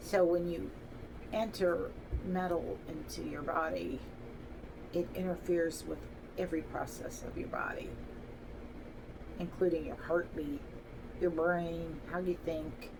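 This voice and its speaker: Over noticeable background noise and audible room echo, a woman talks at a fairly slow pace with long, frequent pauses. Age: 60s. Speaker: vlogger telling personal story. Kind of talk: personal testimony monologue. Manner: halting, with fillers.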